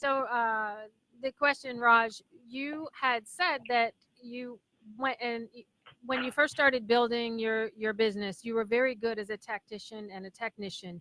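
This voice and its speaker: A woman with a fairly high pitch and a bright, sharp tone talks at a moderate pace with fairly even intonation. Her loudness swings widely, and the sound is dry and close with no echo. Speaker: radio host. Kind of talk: interview.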